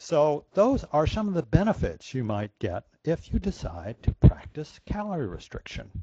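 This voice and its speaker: A man with a dark, mellow, somewhat breathy tone speaks at a moderate pace with hardly any pauses, his fairly high pitch swinging very widely. His loudness shifts in big swings. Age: 60s. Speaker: conference speaker on calorie restriction. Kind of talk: lecture. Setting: virtual conference presentation.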